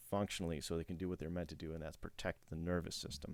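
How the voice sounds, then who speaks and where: A mumbling man with a very deep, low pitch. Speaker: chiropractor. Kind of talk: educational presentation. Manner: halting.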